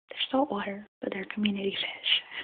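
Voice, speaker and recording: The voice is soft-spoken, with a soothing tone. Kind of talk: tutorial on setting up a freshwater tank. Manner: soft-spoken, relaxing; whispery, soothing.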